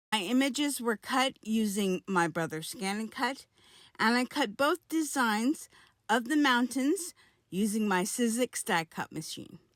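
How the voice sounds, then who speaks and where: In a very clean recording with a silent background and a dry, close sound with no echo, a woman with a fairly high pitch and lively intonation speaks at a fairly slow pace. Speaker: card-making crafter. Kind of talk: crafting tutorial narration.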